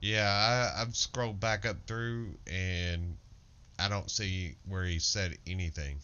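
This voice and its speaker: Speaking very slowly with a Southern US accent, a man uses a very deep, low pitch and ordinary pitch variation. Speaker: gamer streamer in guild raid. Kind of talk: casual gaming voice chat.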